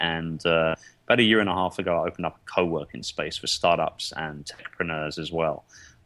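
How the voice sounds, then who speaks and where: A man with a London accent, a very deep, low pitch and a bright, sharp tone, fairly even in intonation and fairly quick in pace. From London, England. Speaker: entrepreneur. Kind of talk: interview.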